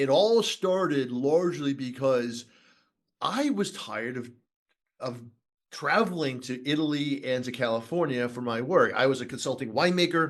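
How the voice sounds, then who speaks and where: This is an ordinary speaking voice with lively intonation. It moves at a moderate pace. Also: man. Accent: American. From Boston, US Northeast. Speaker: wine educator and winemaker. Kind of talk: podcast interview. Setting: wine school.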